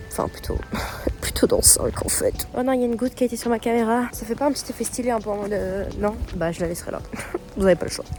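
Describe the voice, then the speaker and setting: Speech comes at a very fast pace with ordinary pitch variation. Music plays in the background. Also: woman, fairly high pitch for a woman. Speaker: university student vlogger. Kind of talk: casual vlog. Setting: outdoors walking. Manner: animated.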